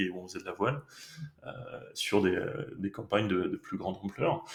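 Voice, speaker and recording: The speaker is a man. His pitch is fairly low. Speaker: sailing skipper, company manager. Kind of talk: podcast interview answer.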